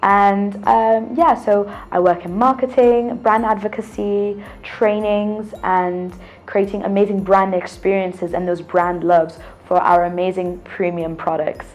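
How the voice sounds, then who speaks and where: With a British accent, a woman speaks at a fairly slow pace and a medium pitch. Her pitch varies in an ordinary way, with music in the background. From UK. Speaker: drinks brand ambassador. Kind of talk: interview.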